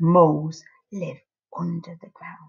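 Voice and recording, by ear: A woman puts on a character voice, slow and fairly low for a woman, with little pitch movement. Her tone has a husky, rough edge and some vocal fry. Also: slightly mellow tone.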